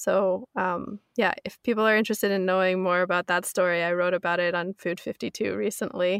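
A woman with a West Coast US accent at medium pitch and a fairly quick pace, with hardly any pauses and fairly even intonation, in a dry, close sound with no echo on a very clean recording with a silent background. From US Pacific Northwest (North Bend, near Seattle). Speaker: author. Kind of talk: interview.

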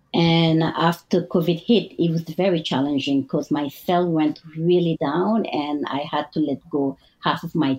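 Her very deep, low voice shows ordinary pitch variation as the woman speaks. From Mauritania. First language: French. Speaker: restaurant chef and owner. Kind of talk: casual interview chat.

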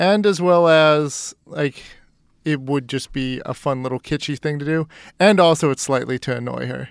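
A man with a plain, everyday voice speaks at a moderate pace and fairly high pitch with ordinary pitch variation, in a dry, close sound with no echo on a very clean recording with a silent background. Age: 20s. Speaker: litigant, plaintiff. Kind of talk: casual chat.

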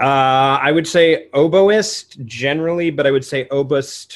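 A man with a plain, everyday voice, ordinary pitch variation and a fairly slow pace. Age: 40s. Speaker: musician (saxophonist). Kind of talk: casual chat.

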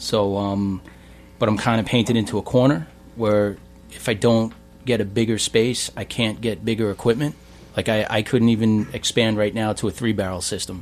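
A man speaks with a New York accent at a fairly low pitch. His intonation is fairly even and his pace moderate. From New York City, Queens. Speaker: craft brewer. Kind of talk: casual chat. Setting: studio.

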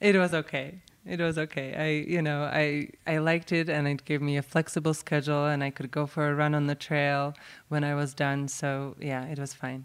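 A woman with a Slovak accent, very deep and low in pitch, monotone and flat at a moderate pace, on a very clean recording with a silent background. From Slovakia. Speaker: baker and cafe owner. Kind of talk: casual interview chat. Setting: recorded at a conference, podcast seminar.

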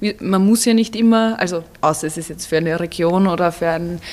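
In an ordinary speaking voice, a woman talks at medium pitch. Her pace is moderate. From Vienna, Austria. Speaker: blogger. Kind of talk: interview.

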